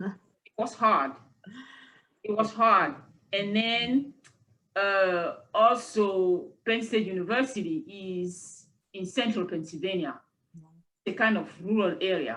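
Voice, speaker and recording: Speaking at a very slow pace with long, frequent pauses, a woman with a French accent has a bright, sharp tone, a medium pitch and ordinary pitch variation. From Cameroon. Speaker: university lecturer. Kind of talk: interview conversation.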